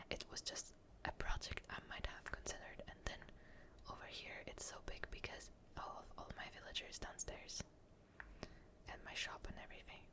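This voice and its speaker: Whispering in a relaxed tone with long, frequent pauses, the speaker is heard over noticeable background noise. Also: moderate pace. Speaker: ASMR gaming content creator. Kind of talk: ASMR gaming commentary. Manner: soft-spoken, relaxed.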